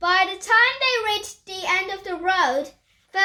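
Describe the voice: A quiet background behind plain reading aloud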